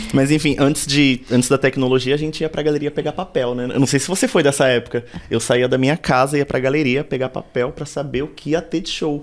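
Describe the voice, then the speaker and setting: A man in a São Paulo accent, fairly high in pitch, fairly quick and with hardly any pauses, his intonation fairly even. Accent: Paulistano Brazilian Portuguese. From São Paulo south zone, Brazil. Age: 30s. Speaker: DJ. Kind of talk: interview.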